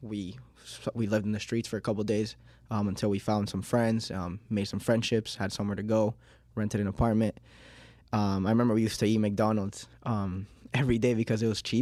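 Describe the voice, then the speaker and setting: Speaking at a fairly quick pace, a man with a fairly low pitch and a Miami accent has a dark, mellow tone and monotone, flat intonation. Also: very clean recording, silent background. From Miami, Florida, born in Uruguay. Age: 20s. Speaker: small business owner. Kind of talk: podcast interview. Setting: studio. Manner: hesitant, frequent um fillers.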